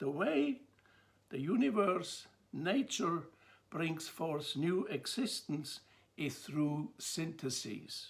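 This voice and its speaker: Speaking very slowly in a high pitch, a man talks with a Swiss accent. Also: lively intonation. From Switzerland. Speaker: theology lecturer. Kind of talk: lecture. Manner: measured, with some hesitations.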